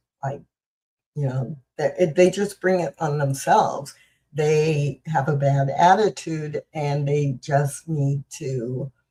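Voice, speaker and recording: With a very deep, low pitch and a dark, mellow tone, a woman speaks very slowly and somewhat breathily, her intonation fairly even, in a dry, close sound with no echo. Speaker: spiritual practitioner and show host. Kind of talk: talk on inclusive ministry. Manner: halting.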